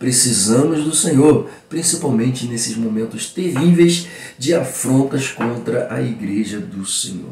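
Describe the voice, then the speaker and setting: This man's medium-pitched voice makes very wide pitch swings at a moderate pace, with noticeable background noise and audible room echo. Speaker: pastor and Bible school teacher. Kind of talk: Bible lesson teaching. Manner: animated.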